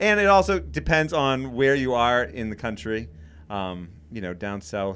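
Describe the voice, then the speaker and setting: A man with a slight Maine accent speaks at a moderate pace on a very clean recording with a silent background. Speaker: podcast co-host, cabin builder. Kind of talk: casual chat. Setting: studio.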